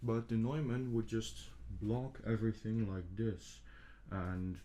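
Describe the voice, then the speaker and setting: A man speaks with a non-native accent in a fairly low pitch and a dark, mellow tone. His pace is moderate and his pitch varies in an ordinary way. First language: not English. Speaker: ASMR creator. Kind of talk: soft-spoken ASMR ramble. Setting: binaural microphone setup, home recording. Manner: soft-spoken. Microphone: two microphones spaced far apart for binaural test.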